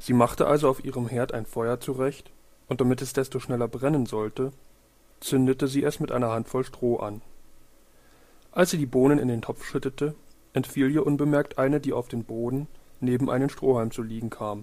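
A man speaks at a moderate pace and medium pitch, his dark, mellow tone carried by fairly even intonation.

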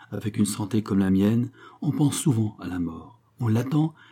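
The text is read in a natural voice whose intonation rises and falls in a lively way.

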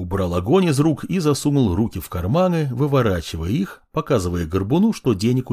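This is a natural reading voice. It is delivered as a natural reading voice.

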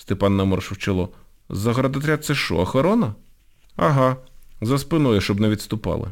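Plain reading aloud

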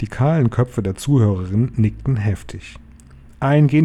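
Reading in a natural voice.

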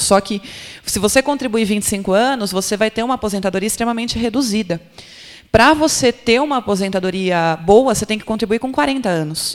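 This woman has a plain, everyday voice with a fairly high pitch. She talks at a moderate pace with ordinary pitch variation. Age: 30s. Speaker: labor lawyer and professor. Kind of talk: panel discussion. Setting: stage with audience.

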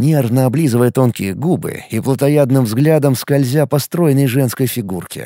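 Someone reads text aloud. The reading is plain.

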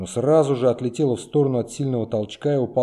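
The delivery is an unforced reading voice. Intonation stays fairly even.

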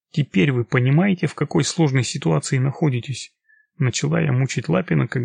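A natural voice reading aloud, with a quiet background

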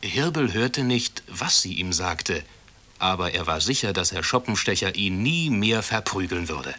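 Lively intonation, reading aloud in a natural voice.

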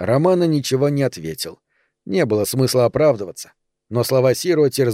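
The background stays quiet. The voice is a natural reading voice.

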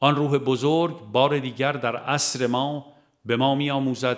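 A man at medium pitch

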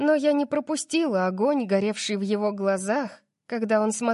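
Against a quiet background, a natural reading voice carries the text.

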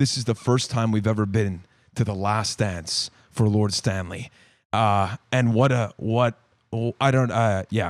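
A man with a fairly low pitch talks at a fairly slow pace on a very clean recording with a silent background. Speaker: hockey podcast host. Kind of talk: casual chat. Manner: loud; animated.

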